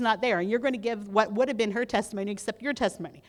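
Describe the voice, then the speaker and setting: At a very fast pace and with ordinary pitch variation, a woman talks in a very clean recording with a silent background. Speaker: legislative advocacy trainer. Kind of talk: training presentation. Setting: conference room with audience and mic.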